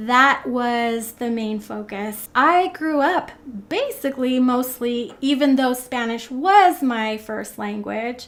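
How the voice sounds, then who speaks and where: With ordinary pitch variation, the words come out at a very slow pace. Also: woman, high pitch for a woman. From North America, child of Argentine immigrants. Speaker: English teacher. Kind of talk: motivational talk to camera.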